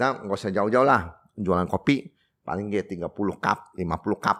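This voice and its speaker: At a moderate pace, a man with a fairly low pitch uses lively intonation in a very clean recording with a silent background. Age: 60s. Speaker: coffee shop owner. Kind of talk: interview. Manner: halting.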